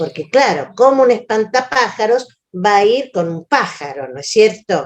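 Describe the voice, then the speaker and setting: A woman at medium pitch speaks with very wide pitch swings. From Argentina. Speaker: educator and author. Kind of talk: lecture. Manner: halting.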